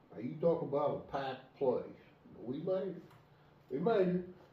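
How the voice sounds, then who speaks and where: Ordinary pitch variation with audible room echo. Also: man, long, frequent pauses. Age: 70s. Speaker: bear hunter. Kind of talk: casual chat.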